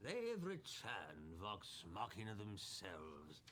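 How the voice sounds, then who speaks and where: The speaker puts on a gruff character voice. Delivery is fairly slow, with lively intonation. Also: man, fairly low pitch for a man. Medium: actual play. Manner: gruff, impatient.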